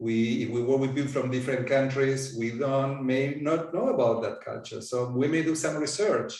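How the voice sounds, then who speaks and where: The voice has an Argentine accent and fairly even intonation. Audible room echo surrounds it. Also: man. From Argentina. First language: Spanish. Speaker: coaching supervisor. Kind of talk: interview.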